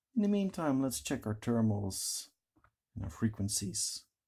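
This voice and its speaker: Somewhat breathy and dark, mellow in tone, a man with a non-native accent is heard on a very clean recording with a silent background. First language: not English. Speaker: tech reviewer. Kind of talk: product review tutorial. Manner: casual, conversational.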